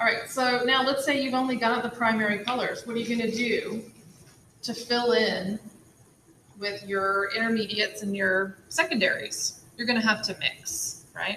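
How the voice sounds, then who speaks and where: Speaking at a moderate pace, a woman with a fairly high pitch has a plain, everyday voice. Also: fairly even intonation. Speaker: art teacher. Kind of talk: tutorial.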